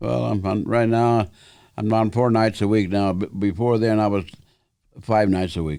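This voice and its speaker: A man talks in a fairly low pitch. His tone is dark and mellow. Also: ordinary pitch variation, moderate pace. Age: 80s+. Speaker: karate master. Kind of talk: interview. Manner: halting.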